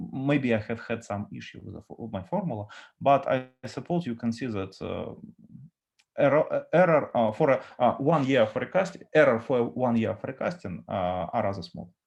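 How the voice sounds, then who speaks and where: A man with a Russian accent speaks at a moderate pace and a medium pitch. His intonation is lively, with big swings in loudness. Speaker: data architect. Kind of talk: conference talk with Q&A. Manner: halting, many fillers.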